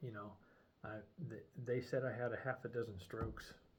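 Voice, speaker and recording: A man with a somewhat breathy voice and fairly even intonation. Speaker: video diarist with brain injury. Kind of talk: personal video journal. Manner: slurred at times; halting, many fillers.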